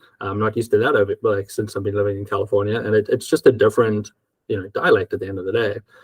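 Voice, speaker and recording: A man with an American accent at a very fast pace, in a dry, close sound with no echo. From South Africa. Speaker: accounting firm owner. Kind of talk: casual conversation.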